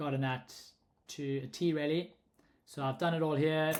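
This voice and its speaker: A very slow, monotone man's voice, fairly high in pitch, with a South African accent. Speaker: holiday rental host and vlogger. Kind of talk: tutorial. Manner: casual, with many fillers.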